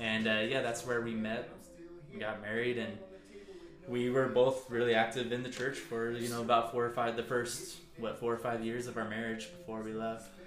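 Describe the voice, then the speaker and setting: Noticeable background noise sits behind a man at a medium pitch. He talks at a moderate pace with fairly even intonation. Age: 30s. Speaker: podcast host guest. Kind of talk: casual chat.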